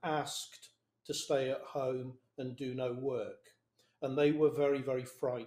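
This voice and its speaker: A man with a southern English accent speaks very slowly at a fairly high pitch in a dark, mellow tone, with audible room echo. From England. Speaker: business leader; conference panelist. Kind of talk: panel discussion. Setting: video call. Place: office. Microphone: video call.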